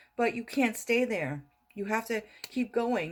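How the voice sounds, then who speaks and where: A woman's fairly high-pitched, normal speaking voice, with ordinary pitch variation and a moderate pace. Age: 60s. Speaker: motivational vlogger. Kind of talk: motivational talk to camera. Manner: repetitive, conversational.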